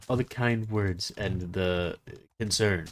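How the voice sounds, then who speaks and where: Fairly even intonation from a man with a fairly low pitch, at a fairly slow pace. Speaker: gaming youtuber. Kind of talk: gameplay commentary. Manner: monotone; halting.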